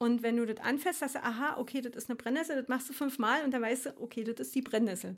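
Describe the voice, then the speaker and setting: Talking at a very fast pace, a woman hardly pauses at all. Her pitch is high and her intonation fairly even. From Berlin (East), Germany. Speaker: aromatherapist and herbalist. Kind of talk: casual interview chat.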